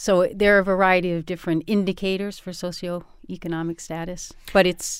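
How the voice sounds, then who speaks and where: In a very clean recording with a silent background, an ordinary speaking voice talks at a moderate pace with an American accent. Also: woman. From Boston, US. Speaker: university professor. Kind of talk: interview.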